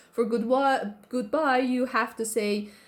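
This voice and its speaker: A woman's voice in an Iranian accent. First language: Persian. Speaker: YouTuber. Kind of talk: casual reaction commentary. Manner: halting, many fillers and restarts.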